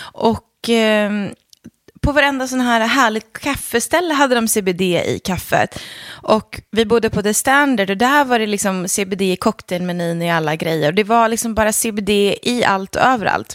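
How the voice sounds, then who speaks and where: A woman speaks at a moderate pace in a fairly high pitch with lively intonation. The sound is dry and close, with no echo. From Sweden, Leksand in Dalarna. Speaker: entrepreneur and investor. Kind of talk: casual interview. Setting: at the guest's home.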